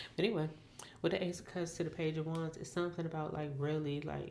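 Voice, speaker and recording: In a very deep, low voice with a dark, mellow tone, a woman speaks very fast in a flat monotone, with audible room echo around her. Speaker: tarot reader. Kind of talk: tarot reading monologue. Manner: casual, rambling with self-corrections.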